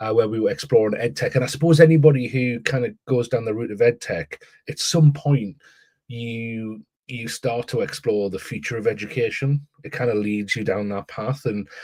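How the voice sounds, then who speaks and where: A man with an English accent speaks in a somewhat breathy, medium-pitched voice at a moderate pace, with ordinary pitch variation. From northeast England, Newcastle. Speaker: education author and AI consultant. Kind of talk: podcast interview. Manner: halting, many repetitions.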